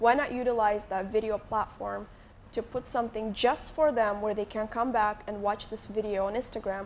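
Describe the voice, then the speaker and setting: At a moderate pace, a woman talks in a fairly high pitch with fairly even intonation. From Moldova. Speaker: YouTuber. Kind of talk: live interview on stage. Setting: stage with audience.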